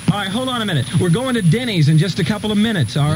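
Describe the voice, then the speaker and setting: A man talks with very wide pitch swings. Noticeable background noise sits behind him. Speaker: radio host. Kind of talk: farewell radio banter with on-air prayer. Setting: radio studio. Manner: excited, joking, rapid-fire, overlapping.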